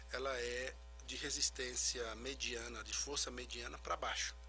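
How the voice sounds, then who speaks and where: A man is speaking. Music plays in the background. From Brazil, Recife. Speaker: physical trainer and genetics consultant. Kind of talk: radio interview. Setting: radio studio. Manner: soft-spoken.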